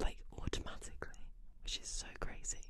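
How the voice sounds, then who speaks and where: A soft-spoken woman talks at a moderate pace, the sound dry with no echo but with loud background noise. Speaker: ASMR creator. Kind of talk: soft intimate ASMR chat. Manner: soft, close-mic ASMR bedtime talk. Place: home room. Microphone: studio mic.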